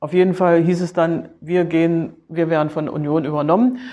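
Fairly low in pitch, a woman speaks at a moderate pace with fairly even intonation. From East Germany (Berlin). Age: 50s. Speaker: former footballer and football official. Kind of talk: interview. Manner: halting, many fillers and repetitions.

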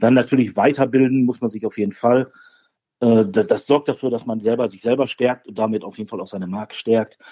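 In a plain, everyday voice, a man with a medium pitch talks at a fairly quick pace. His intonation stays fairly even while his loudness swings widely. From Ruhr area, Germany (Bochum). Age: 40s. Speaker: barbecue champion and grill expert. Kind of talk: interview.

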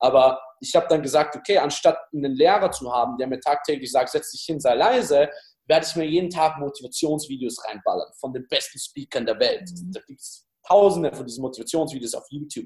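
A fairly high, somewhat breathy male voice at a fairly quick pace, with lively intonation, big swings in loudness and hardly any pauses. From Austria, Styria. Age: 20s. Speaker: dating coach. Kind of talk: interview.

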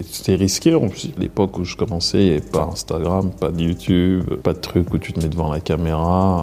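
Amid noticeable background noise, a man with a very deep, low pitch speaks at a moderate pace with fairly even intonation. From Paris region, France. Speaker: actor and filmmaker. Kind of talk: interview testimony. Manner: casual, hesitant with repetitions.

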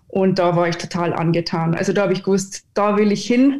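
A woman's medium-pitched voice at a moderate pace. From Austria, Upper Austria (Innkreis village). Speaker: 3D motion designer. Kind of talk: casual chat.

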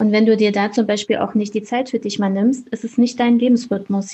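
A woman talks at a fairly quick pace in a dark, mellow tone, somewhat breathy. Her intonation stays monotone and flat. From Thuringia, Germany. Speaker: business coach. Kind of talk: casual interview chat.

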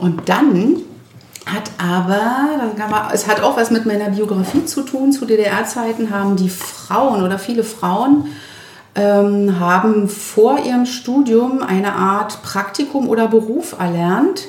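A woman's fairly high voice at a very slow pace, ordinary pitch variation, noticeable background noise and audible room echo. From Brandenburg near Berlin, eastern Germany. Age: 50s. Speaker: vocational school teacher and chef. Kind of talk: casual interview chat. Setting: home kitchen.

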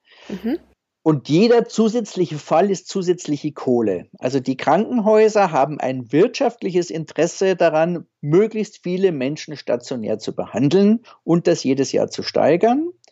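His pitch swings very widely. The man's voice is high-pitched. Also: moderate pace. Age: 50s. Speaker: anesthesiologist, senior hospital doctor. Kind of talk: interview.

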